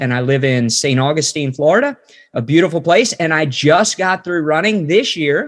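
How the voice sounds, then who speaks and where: A man with an American accent talks in a normal speaking voice at a moderate pace with ordinary pitch variation. The recording is very clean, with a silent background. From West Virginia. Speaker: ministry trainer and former missionary. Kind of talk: casual interview and Bible teaching.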